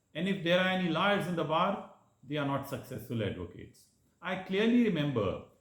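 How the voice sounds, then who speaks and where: With audible room echo, a man speaks at a moderate pace and a fairly high pitch, his voice showing vocal fry. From India, Madhya Pradesh (Jabalpur). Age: 60s. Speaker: lawyer. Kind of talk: prepared speech. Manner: formal.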